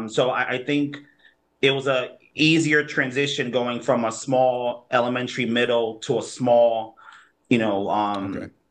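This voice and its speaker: In an American accent, a man talks with fairly even intonation at medium pitch, in an ordinary speaking voice. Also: moderate pace. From New Haven, Connecticut. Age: 30s. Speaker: community organizer. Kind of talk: interview.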